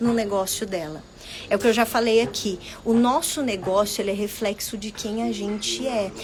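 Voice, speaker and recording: Over noticeable background noise, a woman is heard speaking. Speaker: business mentor. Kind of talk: live stream talk. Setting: Instagram live video.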